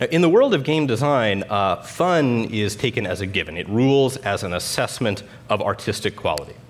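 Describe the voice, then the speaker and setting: A man's lively intonation and moderate pace come through over light background noise. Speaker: conference speaker. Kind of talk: lecture. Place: stage. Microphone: headset.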